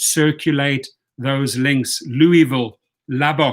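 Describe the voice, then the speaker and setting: On a very clean recording with a silent background, a man with a South African accent speaks at a fairly slow pace and a fairly high pitch in a monotone, flat intonation. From born in Washington, D.C. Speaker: campaign advocate giving shout-outs to cities. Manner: reads a long list of city names, occasionally stumbling over pronunciations.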